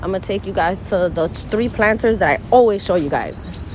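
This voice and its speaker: In a New York accent, a woman speaks at a fairly slow pace with a medium pitch and an animated tone, over noticeable background noise. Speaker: gardening vlogger. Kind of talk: casual vlog talk to camera. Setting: outdoors walking through the neighborhood. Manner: chatty, animated.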